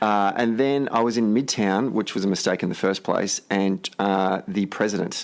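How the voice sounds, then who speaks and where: At a moderate pace with hardly any pauses, a man with an Australian accent speaks at a fairly low pitch, with fairly even intonation and very even loudness over noticeable background noise. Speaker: podcast host. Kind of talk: podcast interview.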